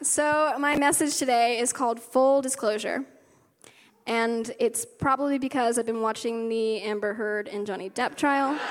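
A woman in an American accent speaks at a moderate pace with a high pitch and ordinary pitch variation, recorded very cleanly against a silent background. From US South, West Virginia. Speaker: worship leader. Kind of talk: sermon. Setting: stage with audience.

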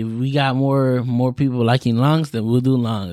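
A man with an American accent speaks at a moderate pace in an ordinary speaking voice, with medium pitch. His intonation stays fairly even, and the very clean recording has a silent background. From Florida. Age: 20s. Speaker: podcast host. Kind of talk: casual monologue. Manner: laughs often.

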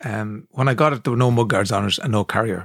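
Someone talks with an Irish accent at a moderate pace, with ordinary pitch variation. The sound is dry and close, without echo. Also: man. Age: 50s. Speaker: podcast co-host, radio presenter. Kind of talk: casual chat.

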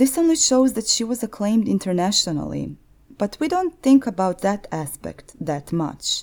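With a Croatian accent, a woman talks at a moderate pace and a fairly high pitch, her voice making very wide pitch swings. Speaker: podcast host. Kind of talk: scripted narration.

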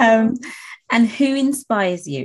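Here a woman's voice sounds somewhat breathy. Her pitch swings very widely. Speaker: podcast host and nail tech. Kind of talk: interview, casual chat. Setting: online call recording.

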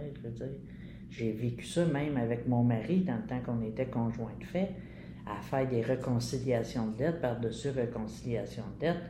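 A woman with a very deep, low pitch, vocal fry, a dark, mellow tone, ordinary pitch variation and moderate pace, plus audible room echo. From Quebec, Montreal (Pointe-Saint-Charles, Verdun). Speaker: retirement home resident. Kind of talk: interview about life story.

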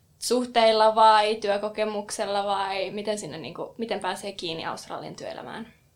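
A woman with an unremarkable speaking voice, fairly high in pitch, at a fairly slow pace. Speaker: podcast co-host. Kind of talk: casual chat. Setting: studio.

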